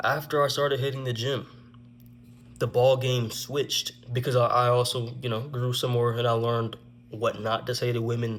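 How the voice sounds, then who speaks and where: A somewhat breathy voice speaks at a moderate pace in a flat monotone. Long pauses come often. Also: man. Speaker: vlogger telling personal stories. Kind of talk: casual story time monologue. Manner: stuttering at times.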